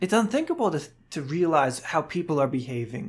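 An ordinary speaking voice from a man, fairly high in pitch and moderate in pace, on a very clean recording with a silent background. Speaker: Bible teaching podcaster. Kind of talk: solo Bible teaching monologue.

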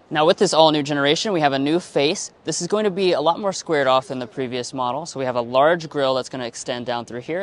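The sound is dry, without any echo. A man talks very fast. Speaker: car reviewer. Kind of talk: product walkaround review. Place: hall. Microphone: lapel.

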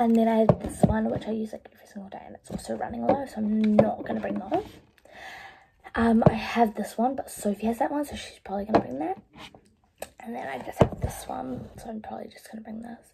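A woman talking at a very fast pace over loud background noise. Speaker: vlogger. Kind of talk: casual vlog chat. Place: home room. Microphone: phone near.

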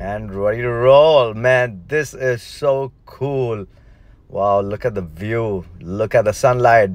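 A man speaks very slowly with ordinary pitch variation in a dry sound with no echo. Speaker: family vlogger. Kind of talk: casual vlog chat. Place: car. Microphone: phone near.

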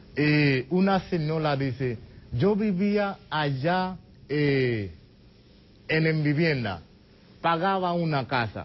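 A man with a Haitian accent at a fairly high pitch, somewhat breathy, very slow, with long, frequent pauses and very even loudness. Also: lively intonation. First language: Haitian Creole (speaking Spanish). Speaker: immigrant association treasurer; guest. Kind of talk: TV interview. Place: studio. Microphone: lapel.

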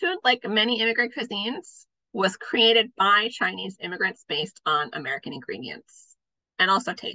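The speaker is a woman. Her voice shows vocal fry. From North Dakota (Fargo). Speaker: food historian. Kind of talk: lecture.

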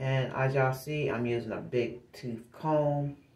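This woman has a very deep, low pitch and speaks at a very slow pace. Room echo is audible. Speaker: vlogger. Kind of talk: casual vlog chat. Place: bathroom. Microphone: phone near.

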